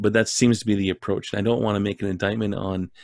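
Speaking in an ordinary speaking voice with a Canadian accent, a man uses a fairly low pitch. His pitch varies in an ordinary way, and the background is quiet. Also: dry sound with no echo. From Saskatchewan, Canada. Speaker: men's ministry leader; ministry event host. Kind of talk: interview. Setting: video call. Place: home room.

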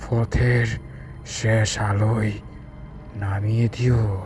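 Over clear background noise, a man with a fairly low pitch does a put-on character voice. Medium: read story. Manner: slow, eerie.

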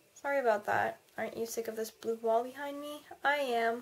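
A woman with ordinary pitch variation. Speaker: vlogger. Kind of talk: casual vlog chat.

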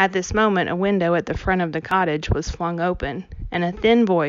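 Reading text in an unforced reading voice.

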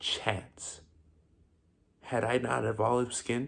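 A man, quiet background behind him. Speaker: actor. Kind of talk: theatrical dramatic monologue, vengeful confrontation of a hated rival. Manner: grandiose, declamatory, relishing each insult. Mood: angry, accusing, intense. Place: home room. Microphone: phone near.

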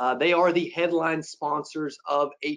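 Against a quiet background, a man with a fairly high voice speaks at a fairly slow pace. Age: 20s. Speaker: webinar host, insurance sales trainer. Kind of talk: casual webinar interview. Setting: online webinar. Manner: animated. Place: office. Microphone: video call.

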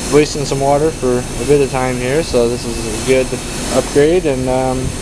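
Moderately paced male speech with noticeable background noise. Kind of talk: casual tutorial commentary. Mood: relaxed, pleased. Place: open country. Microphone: phone near.

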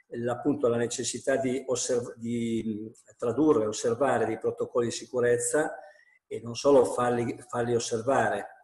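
Against a quiet background with audible room echo, the voice holds a monotone, flat intonation. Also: man, moderate pace. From Piedmont, Italy. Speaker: national president of school principals' association; panelist. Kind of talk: webinar talk. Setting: video call from home. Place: home room. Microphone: earbuds.

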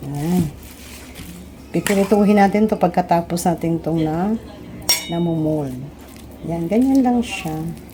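A woman at a fairly slow pace with long, frequent pauses and ordinary pitch variation, over noticeable background noise. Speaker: home cook. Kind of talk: cooking tutorial. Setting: home kitchen. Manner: animated, friendly.

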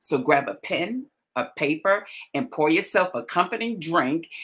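At a moderate pace, a woman with a fairly low pitch speaks with very wide pitch swings. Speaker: talk show host, coach. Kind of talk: talk show monologue. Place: home room. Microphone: webcam.

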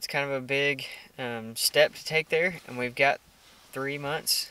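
In a Texan accent, a man speaks at a fairly high pitch with a bright, sharp tone. The recording is dry with no echo. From Texas. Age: 20s. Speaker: outdoor hunting vlogger; hunting vlogger. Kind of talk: casual chat; casual vlog chat. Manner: filler-heavy. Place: car. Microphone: phone near.

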